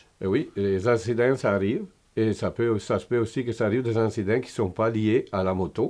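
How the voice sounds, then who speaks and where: A man with an Italian accent, fairly quick pace and fairly even intonation, over a quiet background. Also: medium pitch for a man. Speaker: motorcycle tour operator. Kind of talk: interview answer.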